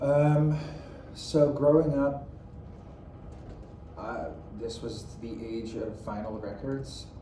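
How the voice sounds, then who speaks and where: With noticeable background noise and audible room echo, a man speaks very slowly at medium pitch, with ordinary pitch variation, big swings in loudness, and long, frequent pauses. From Netherlands. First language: Dutch. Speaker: dance teacher. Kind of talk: interview. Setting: classroom.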